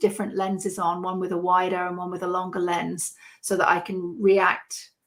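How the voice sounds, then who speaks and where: A woman with a British accent talks at a medium pitch and a moderate pace. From United Kingdom. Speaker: landscape photographer. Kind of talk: podcast interview answer.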